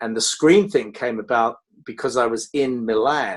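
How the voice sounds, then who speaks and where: With a southern English accent, a man speaks at a medium pitch and moderate pace, his intonation lively. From Dartford, England. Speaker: film trade magazine executive. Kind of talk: interview answer.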